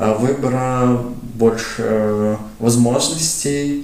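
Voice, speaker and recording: A man with a medium-pitched voice talks in a fairly even intonation. There is audible room echo and noticeable background noise. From Latvia, Riga. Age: 20s. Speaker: youth sports organizer. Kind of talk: casual interview.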